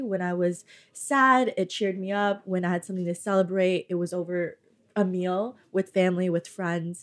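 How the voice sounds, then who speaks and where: A woman with a plain, everyday voice speaks at a medium pitch with fairly even intonation. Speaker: restaurant founder. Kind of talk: interview. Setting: studio.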